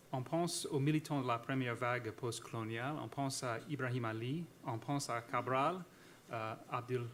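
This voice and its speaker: A man talks fairly slowly at a medium pitch with ordinary pitch variation. Room echo is audible. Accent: American. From United States. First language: English (speaking French). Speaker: historian / academic speaker. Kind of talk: conference talk. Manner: halting, many hesitations and repetitions.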